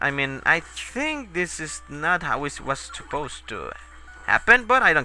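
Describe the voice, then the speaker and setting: Music plays behind a man with a high pitch and very wide pitch swings. He speaks at a fairly slow pace. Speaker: video game let's player. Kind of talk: gameplay commentary. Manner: casual, profane, tipsy.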